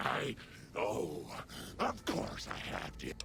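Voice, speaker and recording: A man's put-on character voice against loud background noise. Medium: game stream. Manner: warm, doting, confused.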